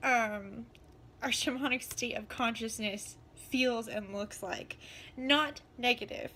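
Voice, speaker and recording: Her voice raised and projected, a woman speaks with a bright, sharp tone. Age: 20s. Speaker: shaman. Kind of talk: casual talk to camera.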